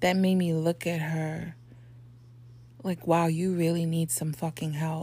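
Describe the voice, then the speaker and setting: Her voice is very deep and low, with a dark, mellow tone that comes out somewhat breathy. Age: 40s. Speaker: podcast host. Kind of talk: motivational monologue. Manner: animated.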